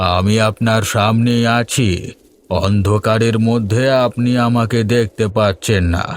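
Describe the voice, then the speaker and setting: A man's cartoonish character voice at medium pitch, fairly slow pace, very clean recording with a silent background. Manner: soft, eerily friendly.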